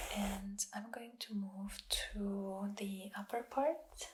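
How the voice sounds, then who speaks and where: The speaker whispers in a soft-spoken way at a very slow pace. Background noise is noticeable. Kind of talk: ASMR hair detangling. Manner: whispered, soft-spoken.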